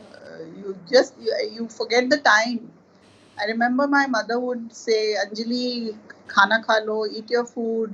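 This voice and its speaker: At a fairly slow pace, a woman with an ordinary speaking voice and fairly high pitch keeps a fairly even intonation, though her loudness swings widely. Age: 60s. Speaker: artist.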